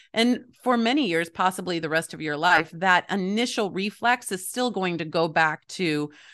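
With an unremarkable speaking voice, a woman talks at a moderate pace and medium pitch, with ordinary pitch variation, against a quiet background. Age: 40s. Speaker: author and family coach. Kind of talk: casual interview.

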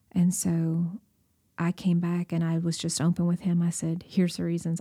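This woman's fairly low, dark, mellow voice is somewhat breathy and delivered in a flat monotone. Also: very clean recording, silent background. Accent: Southern US. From Tennessee, Baxter. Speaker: church missions director, former missionary. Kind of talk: interview storytelling.

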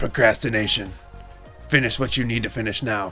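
A put-on character voice speaks at a fairly quick pace. Clear music plays in the background. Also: man, medium pitch for a man. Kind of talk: sponsor ad read. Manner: spooky, conspiratorial.

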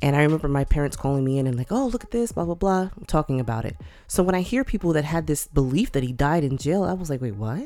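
With music in the background, the voice moves at a very fast pace with hardly any pauses and very wide pitch swings. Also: woman, very deep, low pitch for a woman. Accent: American. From New York City. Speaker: podcast co-host. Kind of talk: casual chat.

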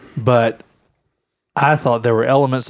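On a very clean recording with a silent background, a man with a Louisiana accent speaks at a medium pitch with fairly even intonation. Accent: Southern US (Louisiana). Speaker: podcast co-host. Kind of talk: casual chat.

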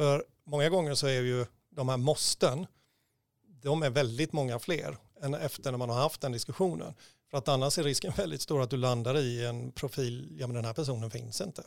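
In a normal speaking voice, a man talks at a moderate pace and medium pitch on a very clean recording with a silent background. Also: ordinary pitch variation. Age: 50s. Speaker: recruitment consultant. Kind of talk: casual chat.

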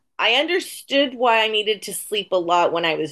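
Speaking in an unremarkable speaking voice with an American accent, a woman keeps a moderate pace, a fairly high pitch and lively intonation. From San Diego, California. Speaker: dog walker in alcohol recovery. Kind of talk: casual chat.

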